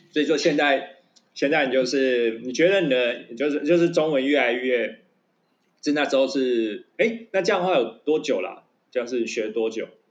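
A man's plain, everyday voice, fairly high-pitched, at a moderate pace. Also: lively intonation. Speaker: podcast co-host. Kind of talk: casual chat.

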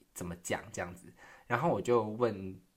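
A man with a Taiwanese accent speaks at a fairly low pitch with ordinary pitch variation. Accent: Taiwanese Mandarin. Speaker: podcast host. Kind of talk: casual solo monologue. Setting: quiet room at home.

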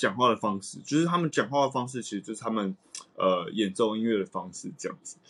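Talking at a very fast pace, a man uses a medium pitch and lively intonation. His loudness swings a lot. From Taiwan. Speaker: jazz saxophonist. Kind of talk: casual chat.

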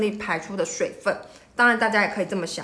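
Here is a woman with an ordinary speaking voice. Her pitch is fairly high, with ordinary pitch variation. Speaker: rheumatologist podcast host. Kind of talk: medical explainer monologue. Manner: casual, with many filler words.

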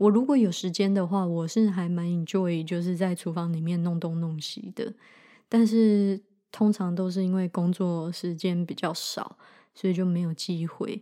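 On a very clean recording with a silent background, a woman with an ordinary speaking voice talks at a moderate pace in a medium pitch with ordinary pitch variation. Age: 30s. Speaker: podcast host, medical student. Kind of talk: casual unscripted monologue.

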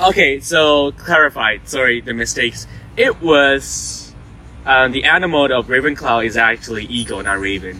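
Moderate-paced speech from a man amid noticeable background noise. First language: not English. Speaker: student podcast co-host. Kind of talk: casual chat. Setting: outdoors on campus.

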